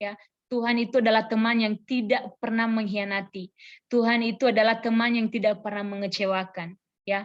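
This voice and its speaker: A woman's unremarkable speaking voice at fairly high pitch. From Nias, North Sumatra, Indonesia. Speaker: preacher, church worker and teacher. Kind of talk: sermon. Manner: conversational.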